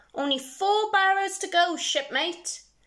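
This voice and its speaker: A woman does a put-on character voice at an extremely high pitch. Her intonation is lively, and her pace is fairly slow. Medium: read story. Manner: beaming, hearty.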